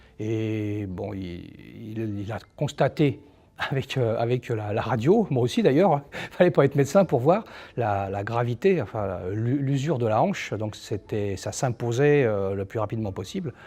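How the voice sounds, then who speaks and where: In a very clean recording with a silent background, a man with a medium pitch and a dark, mellow tone speaks at a fairly slow pace with lively intonation. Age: 60s. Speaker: patient. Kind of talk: testimony. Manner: halting.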